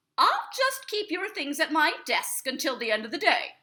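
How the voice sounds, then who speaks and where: A woman's put-on character voice, extremely high in pitch, with very wide pitch swings and a moderate pace. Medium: read story. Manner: warm, easygoing.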